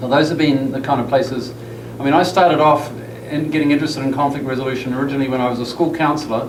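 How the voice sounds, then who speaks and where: Very fast and fairly even in intonation, a man with a fairly high voice and a New Zealand accent speaks amid noticeable background noise and audible room echo. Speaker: counseling professor. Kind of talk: lecture.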